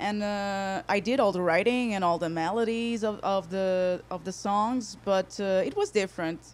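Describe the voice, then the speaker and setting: A woman in a Portuguese accent speaks at a moderate pace and medium pitch, with fairly even intonation and hardly any pauses. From Portugal, Porto. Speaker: singer-songwriter. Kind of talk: interview. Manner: halting.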